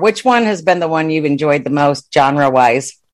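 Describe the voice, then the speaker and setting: A very clean recording with a silent background, with ordinary pitch variation. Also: woman. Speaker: podcast co-host interviewing. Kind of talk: casual interview chat.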